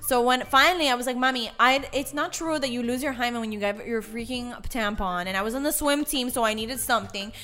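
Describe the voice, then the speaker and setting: An animated woman talks very fast in an American accent, with hardly any pauses. Her pitch is high, with ordinary pitch variation. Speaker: podcast co-host. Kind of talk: casual chat. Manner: animated, joking.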